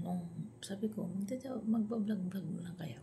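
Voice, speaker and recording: A quiet woman's voice at medium pitch, dark and mellow in tone, with vocal fry and a moderate pace. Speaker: vlogger. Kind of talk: casual vlog talk. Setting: at home, early morning. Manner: quiet, hushed.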